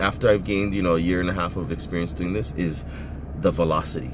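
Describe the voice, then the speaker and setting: Over noticeable background noise, a man speaks in a very deep, low voice. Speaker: eBay reseller. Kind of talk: casual talk to camera. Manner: slow.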